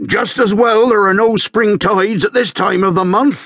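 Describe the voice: A man puts on a character voice, growling and bellowing at a high pitch. He keeps a moderate pace and very even loudness.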